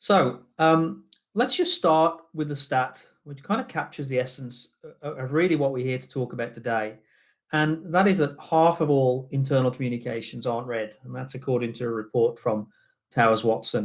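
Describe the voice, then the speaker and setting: Here a man talks with a British accent at a moderate pace. His medium pitch shows ordinary variation, while his loudness swings a lot. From Britain. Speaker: business general manager. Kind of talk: webinar presentation. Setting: online summit.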